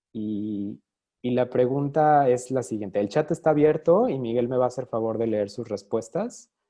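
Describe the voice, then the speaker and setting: The voice belongs to a man with a medium pitch. It shows ordinary pitch variation. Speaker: design researcher, speaker. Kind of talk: online talk / lecture. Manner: fast.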